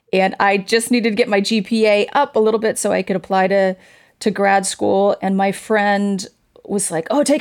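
A plain, everyday voice at a fairly quick pace, in a very clean recording with a silent background. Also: woman. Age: 50s. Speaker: stage and screen actress. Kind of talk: interview.

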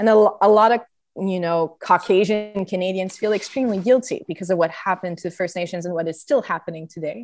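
Speaking very fast in a Quebec accent, a woman uses a medium pitch with ordinary pitch variation. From Quebec (Montreal). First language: French. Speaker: theatre artist and musician. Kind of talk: interview conversation. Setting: video call. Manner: hesitant, many fillers.

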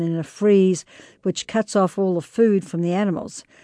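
A woman with a New Zealand accent, medium pitch and a dark, mellow tone, at a moderate pace, in a dry, close sound with no echo and a quiet background. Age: 60s. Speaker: explorer and author. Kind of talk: interview.

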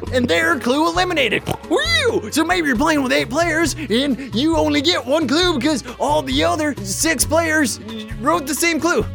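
Loud music plays in the background as a man uses a put-on character voice at an extremely high pitch. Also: moderate pace.

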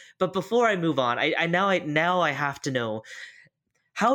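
In a very clean recording with a silent background, a man with a high pitch speaks at a moderate pace in an animated, bright, sharp tone with very wide pitch swings. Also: very even loudness. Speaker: podcast co-host. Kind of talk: casual interview chat. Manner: animated, jokey.

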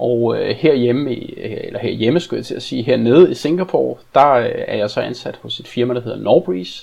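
This is a man speaking. His pace is fairly slow. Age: 40s. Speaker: e-commerce manager. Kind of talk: interview. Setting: video call.

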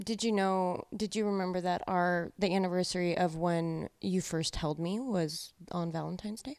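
The voice is an unremarkable speaking voice, moving at a moderate pace with fairly even intonation and hardly any pauses, in a very clean recording with a silent background. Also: woman, medium pitch for a woman. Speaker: host's daughter. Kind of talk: casual chat.

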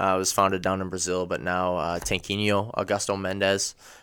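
A man with a fairly low pitch and an American accent talks in a monotone, flat way at a moderate pace on a very clean recording with a silent background. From Wisconsin. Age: 20s. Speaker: MMA fighter. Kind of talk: casual interview.

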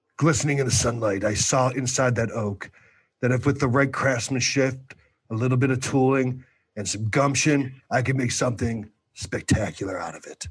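Over a quiet background, a man puts on a raspy character voice at medium pitch and a moderate pace.

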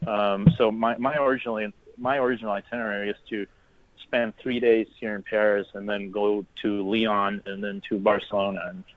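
At a moderate pace, a man speaks in an American accent with a fairly low pitch. His intonation is fairly even, and he has a normal speaking voice. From Texas, The Woodlands. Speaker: guest traveler in Paris. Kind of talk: interview. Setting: phone or video call from Paris.

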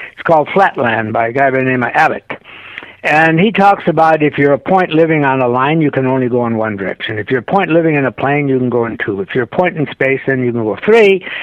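Noticeable background noise sits behind a man with a fairly high pitch. His intonation is lively and his pace fairly quick. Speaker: author. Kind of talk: interview. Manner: halting, many fillers.

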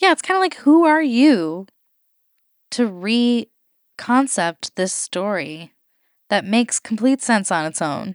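A woman with an American accent, fairly high-pitched, at a very slow pace with long, frequent pauses and very wide pitch swings, in a dry, close recording with no echo and a quiet background. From Colorado, then Chicago area. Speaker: podcast host. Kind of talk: casual chat.

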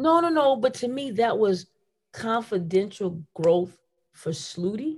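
A woman's somewhat breathy voice swings very widely in pitch. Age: 50s. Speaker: basketball coach. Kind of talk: casual chat.

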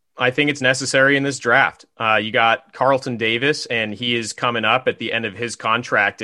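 A man at medium pitch talks in a normal speaking voice. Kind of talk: sports analysis podcast chat. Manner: casual, stat-heavy, repeats words while thinking.

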